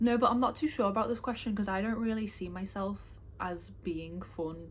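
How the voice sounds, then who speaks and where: The voice belongs to a woman with a medium pitch. It sounds somewhat breathy. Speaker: booktuber. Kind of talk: casual vlog talk. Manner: fast when excited.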